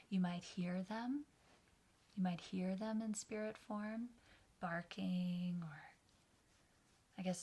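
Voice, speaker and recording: A woman's somewhat breathy, dark and mellow voice at medium pitch, fairly even in intonation, at a very slow pace. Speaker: meditation guide. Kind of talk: guided meditation. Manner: slow, soft-spoken.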